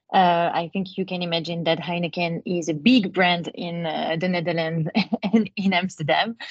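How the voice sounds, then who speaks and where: A woman with a French accent speaks at a moderate pace, her fairly low voice somewhat breathy. Her intonation stays fairly even. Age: 20s. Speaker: advertising account director. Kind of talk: webinar talk. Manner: hesitant, many fillers.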